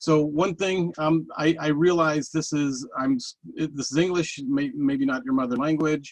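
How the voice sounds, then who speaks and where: Hardly pausing at all, a man with an American accent speaks at a fairly high pitch with ordinary pitch variation. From New York. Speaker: data industry executive. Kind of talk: webinar presentation. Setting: online webinar. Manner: fast; halting, many fillers and restarts.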